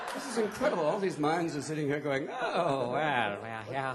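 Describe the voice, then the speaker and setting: Noticeable background noise sits behind a man talking at a fairly quick pace. His fairly high pitch rises and falls in very wide swings. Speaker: comedian. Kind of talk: improvised comedy at a live event. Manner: high-energy, fast.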